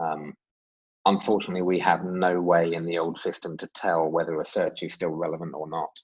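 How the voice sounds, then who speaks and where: A man with a very deep, low voice and an English accent speaks at a moderate pace in a flat monotone, recorded dry and close with no echo. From England. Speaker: software development manager. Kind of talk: webinar Q&A. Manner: hesitant with fillers.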